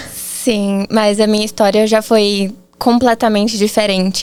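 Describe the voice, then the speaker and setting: Monotone, flat intonation runs through this woman's speech. Her pitch is medium. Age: 20s. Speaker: marketing agency founder, copywriter. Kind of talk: podcast interview.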